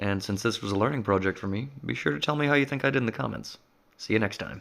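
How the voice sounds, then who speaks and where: A man's very fast, fairly low-pitched speech with lively intonation and vocal fry. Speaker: blacksmith. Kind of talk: humorous tutorial voice-over. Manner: dry, wry humor.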